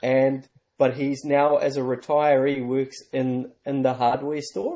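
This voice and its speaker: A man speaks at medium pitch and a fairly slow pace. His tone is dark and mellow, his intonation monotone and flat. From South Africa, then New Zealand from age 12. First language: Afrikaans. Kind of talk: casual interview conversation.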